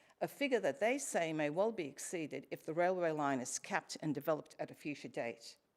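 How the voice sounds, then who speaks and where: With an Australian accent, a woman with a very deep, low pitch speaks at a fairly quick pace with lively intonation. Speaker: member of the public asking questions at council meeting. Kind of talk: formal public question time. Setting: council chambers.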